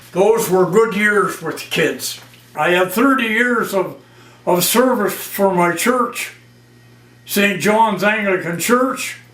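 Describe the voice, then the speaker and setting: A man speaks very slowly in a high voice with ordinary pitch variation. Noticeable background noise and audible room echo are present. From northern Ontario, Canada. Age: 80s+. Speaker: retired railway worker and war veteran. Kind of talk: oral history interview.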